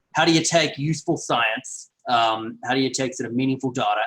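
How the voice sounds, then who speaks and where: With a strong Australian accent, a man talks at a fairly quick pace in a medium pitch with fairly even intonation. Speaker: health and climate researcher. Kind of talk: online lecture. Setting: online video call.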